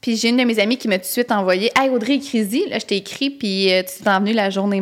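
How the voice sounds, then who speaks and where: A woman speaks at a moderate pace. Her fairly high voice shows ordinary pitch variation. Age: 20s. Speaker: podcast co-host. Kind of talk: casual chat.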